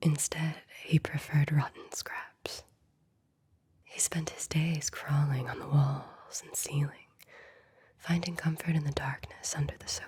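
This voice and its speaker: A woman whispers at a fairly slow pace, with long, frequent pauses and big swings in loudness. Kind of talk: ASMR bedtime story reading. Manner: soft-spoken.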